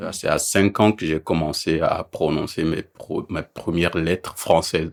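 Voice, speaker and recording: Recorded very cleanly over a silent background, a man speaks at a fairly slow pace. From Benin. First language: a Beninese language (speaking French). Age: 30s. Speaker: interviewee. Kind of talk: interview.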